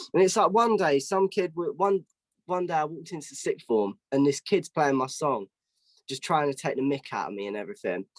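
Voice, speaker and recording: With a southeast English accent, a man speaks at a fairly quick pace, his pitch swinging very widely, recorded dry and close with no echo. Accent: southeast English, London-ish. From southeast England (Kent). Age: young. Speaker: singer-songwriter. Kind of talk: interview. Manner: halting with many restarts.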